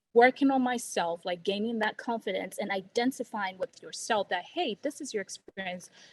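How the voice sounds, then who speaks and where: Somewhat breathy, fairly high-pitched speech from a woman with a non-native accent, at a moderate pace with ordinary pitch variation and a dry, close sound with no echo. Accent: noticeable non-native. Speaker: healthcare strategy consultant. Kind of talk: casual career advice chat. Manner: hesitant with many fillers and restarts.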